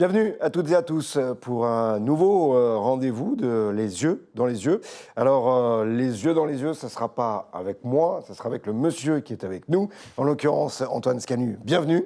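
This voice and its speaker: A man speaks at medium pitch with a dark, mellow tone and lively intonation, at a moderate pace. The recording is very clean, with a silent background. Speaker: interview host. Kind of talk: interview. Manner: hesitant, many fillers.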